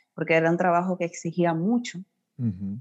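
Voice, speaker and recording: A woman with an ordinary speaking voice talks at a moderate pace and fairly low pitch with lively intonation, against a quiet background. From Dominican Republic, Puerto Plata. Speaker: teacher. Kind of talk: interview.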